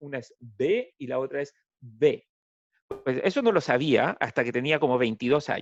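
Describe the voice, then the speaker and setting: A man talks at a fairly slow pace with very wide pitch swings. The sound is dry and close, with no echo. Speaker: political scientist, professor. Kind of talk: talk to school audience.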